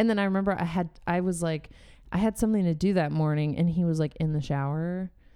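A woman with an American accent talks at a very fast pace, her fairly low voice carrying a dark, mellow tone. Her loudness stays very even on a very clean recording with a silent background. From US West Coast, San Diego, California. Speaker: stand-up comedian and podcast host. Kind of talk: casual chat. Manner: animated.

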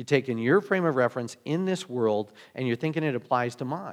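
A man's plain, everyday voice, medium in pitch, at a fairly quick pace. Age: 50s. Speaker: pastor. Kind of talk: sermon. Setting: church.

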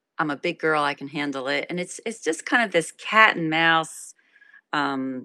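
The speaker has an American accent and a bright, sharp tone at a fairly slow pace. The recording is very clean with a silent background, dry and close with no echo. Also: woman. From New Jersey, Trenton. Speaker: singer-songwriter and guitarist. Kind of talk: interview conversation.

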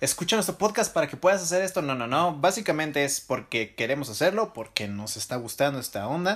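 A man's animated tone comes through on a very clean recording with a silent background. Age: 20s. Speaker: podcast host. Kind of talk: casual chat.

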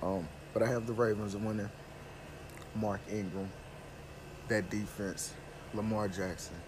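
A man speaks fairly slowly in a nasal, fairly low voice. His intonation is fairly even.

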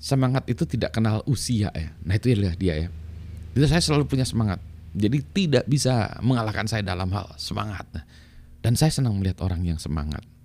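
A somewhat breathy man rushes along at a very fast pace, his fairly low pitch swinging very widely. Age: middle-aged. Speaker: YouTube vlogger. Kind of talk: casual monologue vlog. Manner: animated.

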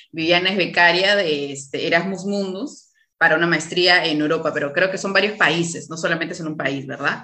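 Speaking at a moderate pace with fairly even intonation, a woman with a fairly low pitch is heard against audible room echo. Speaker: podcast host, obstetrician. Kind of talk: casual interview.

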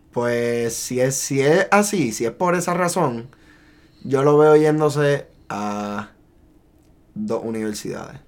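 Speaking very slowly in a Puerto Rican accent, a man with a fairly high pitch uses lively intonation and takes long, frequent pauses. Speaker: podcast co-host. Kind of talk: casual chat.

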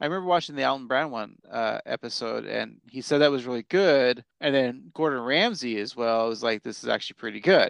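An ordinary speaking voice: a man with an American accent, medium pitch, ordinary pitch variation, a fairly quick pace and hardly any pauses. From Portland, Oregon area. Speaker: podcast co-host. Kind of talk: casual chat.

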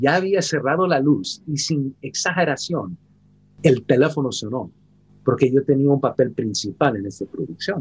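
At a moderate pace, a man with a fairly high pitch and a somewhat breathy voice speaks with lively intonation. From San Francisco, California, US. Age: 50s. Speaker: actor. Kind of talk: interview. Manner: halting.

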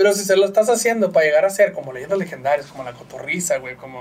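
Over noticeable background noise, a man speaks at a very fast pace with a fairly high pitch. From northern Mexico, Chihuahua. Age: 30s. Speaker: graphic designer and podcaster. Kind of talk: casual chat. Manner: slight stammer.

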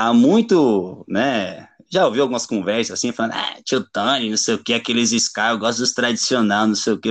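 With lively intonation and a fairly quick pace, a man speaks in an unremarkable speaking voice over a quiet background. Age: 30s. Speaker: punk band vocalist. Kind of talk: casual chat.

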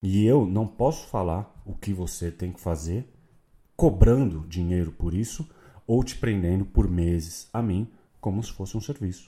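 A man with a very deep, low pitch and a dark, mellow, somewhat breathy tone, ordinary pitch variation, a fairly slow pace, and a very clean recording over a silent background. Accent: Brazilian. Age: 30s. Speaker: sports marketing podcaster. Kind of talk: unscripted solo podcast monologue.

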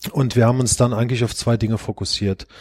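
Recorded very cleanly against a silent background, a man with a medium pitch and a dark, mellow tone sounds dry and close, with no echo. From Germany, Rhineland-Palatinate (Eifel region). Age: 50s. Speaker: bank chief executive. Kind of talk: podcast interview. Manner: hesitant, many filler sounds.

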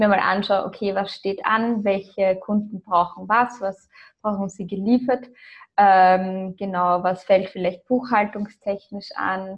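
Somewhat breathy and at a medium pitch, a woman speaks at a fairly slow pace in a monotone, flat intonation. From Austria and Ireland. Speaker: copywriter and agency founder. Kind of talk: interview.

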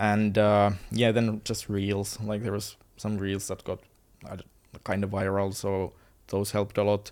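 A man speaks at a fairly slow pace in a fairly low pitch, his intonation flat and monotone, on a very clean recording with a silent background. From Finland. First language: Finnish. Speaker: content creator. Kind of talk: casual interview chat. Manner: nervous, halting.

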